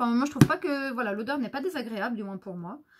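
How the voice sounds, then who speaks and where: A woman speaks in a bright, sharp tone with lively intonation. The background is quiet. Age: 30s. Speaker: beauty youtuber. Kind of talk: product haul review. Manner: hesitant, many filler sounds. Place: home room. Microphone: camera far.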